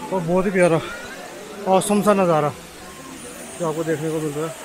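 Speaking at a moderate pace with fairly even intonation, a man uses a fairly high, slightly mellow voice over faint background noise.

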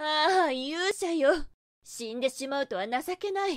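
Against a quiet background, a woman with a high pitch talks at a fairly slow pace with very wide pitch swings. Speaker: ASMR voice actress. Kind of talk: yandere goddess roleplay monologue, scripted ASMR situation voice. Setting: binaural headphone ASMR recording. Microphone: studio mic.

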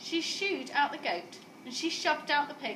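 A woman's high, bright, sharp voice at a fairly slow pace, with lively intonation and audible room echo.

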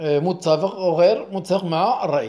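A man talks with a dark, mellow tone. His pitch is high. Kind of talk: lesson. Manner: repetitive.

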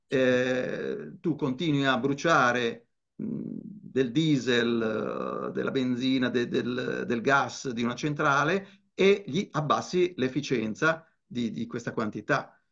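Very slowly, a man speaks at a medium pitch with vocal fry. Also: lively intonation. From Italy, Genoa (Liguria). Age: 70s. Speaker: physicist and climate activist. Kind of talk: slide presentation talk.

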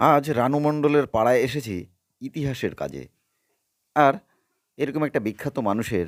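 In an ordinary speaking voice, a man talks at medium pitch with ordinary pitch variation, on a very clean recording with a silent background and a dry, close sound with no echo. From Ranaghat, West Bengal. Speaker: history channel presenter. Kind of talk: on-location vlog intro and interview.

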